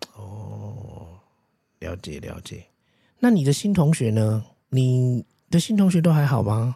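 A man speaks very slowly in a dark, mellow, somewhat breathy tone. His pitch swings very widely, with long, frequent pauses. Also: medium pitch for a man. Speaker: podcast host, parent interviewing child. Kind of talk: casual chat. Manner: animated.

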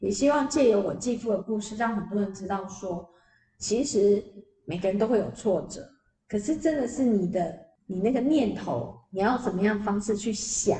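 At a moderate pace, a woman uses a normal speaking voice with a medium pitch and ordinary pitch variation. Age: 50s. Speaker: PR agency founder and author. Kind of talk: interview.

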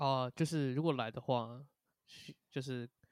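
A man talks in a dry, close recording that has no echo. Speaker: band drummer. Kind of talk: casual interview chat.

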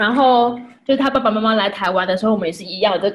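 A woman's fairly high, somewhat breathy voice with lively intonation. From Taiwan. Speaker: wife and mother. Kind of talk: casual chat.

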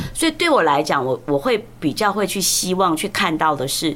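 A woman speaks at a moderate pace in a fairly low pitch with lively intonation. There is noticeable background noise. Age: 60s. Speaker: law professor. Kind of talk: interview conversation. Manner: animated; loud. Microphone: clipping, distorts when loud.

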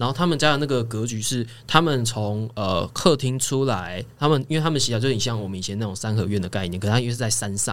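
A man with a plain, everyday voice, at a medium pitch and a fairly quick pace, with ordinary pitch variation. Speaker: home care worker. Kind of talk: casual chat.

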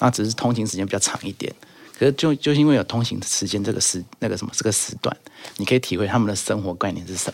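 A man talks at a very fast pace in a fairly low voice. His pitch varies in an ordinary way. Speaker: guest sharing study-abroad experience. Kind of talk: casual chat.

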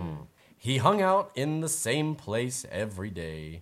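The reading voice here is unforced.

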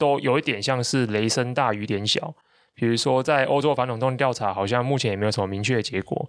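This man speaks at a very fast pace with a Taiwanese accent. His pitch sits at a medium level with ordinary variation. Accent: Taiwanese Mandarin. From Taiwan, Taichung. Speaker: tech and business newsletter writer, podcast host. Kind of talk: casual conversational explainer of tech news.

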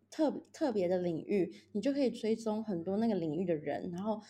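Her tone is dark and mellow. The woman speaks at a medium pitch and a fairly quick pace. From Taiwan. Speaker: project manager working abroad. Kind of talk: casual interview chat. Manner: halting with repetitions.

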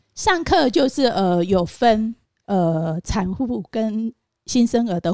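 The recording of this woman's voice is dry and close, without any echo. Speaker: postpartum nanny. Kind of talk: interview.

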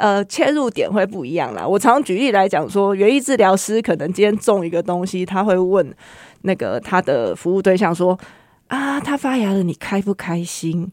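A woman's normal speaking voice at a medium pitch, lively intonation, a moderate pace, and big swings in loudness, on a very clean recording with a silent background. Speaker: horticultural therapist. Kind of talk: interview.

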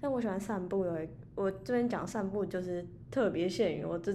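Audible room echo surrounds a woman's dark, mellow tone as she talks at a fairly quick pace. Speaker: podcast co-host. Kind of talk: casual chat.

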